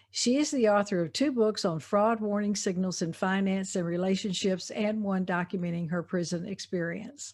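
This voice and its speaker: In a Southern US accent, a woman talks at a moderate pace and medium pitch with ordinary pitch variation and hardly any pauses. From US South. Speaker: podcast host. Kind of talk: interview; scripted introduction.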